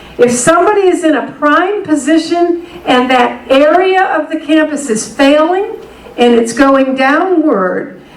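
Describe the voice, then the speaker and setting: The speaker moves at a moderate pace with lively intonation. Noticeable background noise and audible room echo fill the recording. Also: woman. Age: 60s. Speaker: higher education consultant and speaker. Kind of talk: workshop keynote talk.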